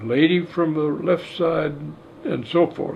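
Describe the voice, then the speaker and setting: Speaking very slowly, a man uses a high pitch with ordinary pitch variation. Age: 80s+. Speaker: firearms expert and ballistics examiner. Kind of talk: interview answer.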